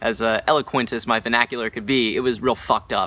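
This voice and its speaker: The voice is loud, with a bright, sharp tone. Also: man. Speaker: musician and vlogger. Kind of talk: personal vlog testimony. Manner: halting, many fillers.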